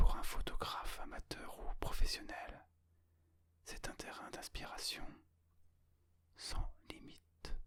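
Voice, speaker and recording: Whispering at a very slow pace, a man leaves long, frequent pauses, and his loudness swings widely. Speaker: ASMR creator and amateur photographer. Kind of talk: ASMR whispered relaxation talk about photography and travel. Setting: close-mic binaural ear-to-ear recording. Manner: whispered, soft-spoken.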